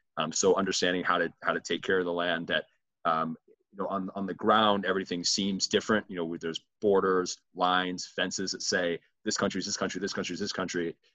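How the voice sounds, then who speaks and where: A man with an American accent, very deep and low in pitch, at a fairly quick pace in monotone, flat intonation. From US Midwest. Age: 20s. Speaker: student and gap year advocate. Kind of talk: interview conversation.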